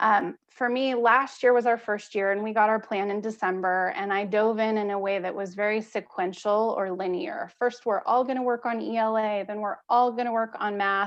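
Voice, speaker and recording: A woman with a normal speaking voice talks at a moderate pace and fairly high pitch, keeping her intonation fairly even and leaving hardly any pauses. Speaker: school principal. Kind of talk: presentation at school board meeting.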